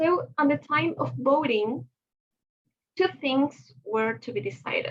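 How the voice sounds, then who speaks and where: A woman speaks at a fairly slow pace with a Spanish accent. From Chile. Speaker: conference presenter. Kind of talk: conference presentation. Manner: halting, many fillers.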